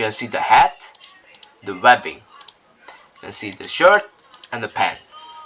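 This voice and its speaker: Through noticeable background noise, a man of medium pitch speaks fairly slowly with a non-native accent. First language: not English. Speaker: game tutorial creator. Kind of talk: tutorial. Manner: halting, with fillers and restarts.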